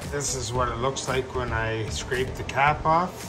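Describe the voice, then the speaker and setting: Clear music in the background beneath a male voice at a fairly slow pace. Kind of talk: tutorial. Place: kitchen. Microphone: phone near.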